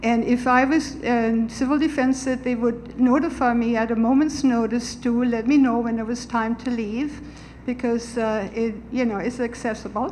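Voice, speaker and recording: Moderate pace and fairly even intonation amid audible room echo. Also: woman, high pitch for a woman. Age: 70s. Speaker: resident speaking at community meeting. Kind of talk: public comment at town meeting.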